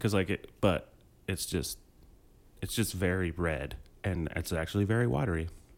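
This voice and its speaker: Pausing long and often, a man with a very deep, low pitch and vocal fry talks at a moderate pace with ordinary pitch variation. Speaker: podcast co-host. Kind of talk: casual comedic chat.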